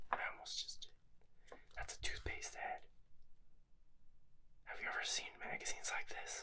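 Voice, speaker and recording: A man speaks here. He is whispering. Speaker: ASMR creator. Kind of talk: ASMR whisper show and tell, casual talk to camera. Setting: indoors in a library. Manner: whispered, soft, intimate. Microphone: studio mic.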